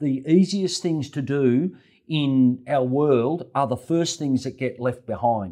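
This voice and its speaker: A man with an Australian accent speaks at a very slow pace and a fairly high pitch, with ordinary pitch variation. His tone is dark and mellow, and the background is quiet. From Australia, Melbourne (West Essendon). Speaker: real estate agent. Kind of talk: interview.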